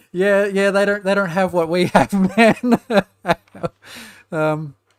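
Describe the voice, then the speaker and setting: With an Australian accent, a man speaks at a very slow pace in a high pitch, with fairly even intonation and a dry, close sound with no echo. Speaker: gaming youtuber. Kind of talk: let's play commentary. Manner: halting.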